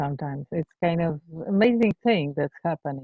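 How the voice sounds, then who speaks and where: A woman with a non-native accent speaks in a fairly low voice. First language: not English. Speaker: empathy circle facilitator. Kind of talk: group sharing in training session. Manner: halting.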